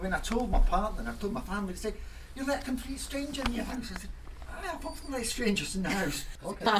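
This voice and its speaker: Very fast and at an extremely high pitch, a man speaks through audible room echo and noticeable background noise. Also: lively intonation. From Scotland, Edinburgh (born in Germany). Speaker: member of the public, poem recipient. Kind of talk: radio interview. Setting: in his home.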